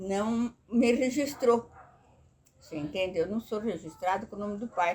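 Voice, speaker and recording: A woman's fairly slow speech with lively intonation, over noticeable background noise. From Brazil, rural Vale do Paraíba near Jacareí, São Paulo state. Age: 80s+. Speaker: grandmother sharing life memories. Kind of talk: oral history interview. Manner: halting, with repetitions.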